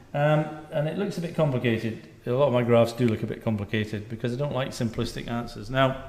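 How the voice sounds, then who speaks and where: Over audible room echo, a man speaks at a moderate pace. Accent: Scottish. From Scotland. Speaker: doctor. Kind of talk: lecture.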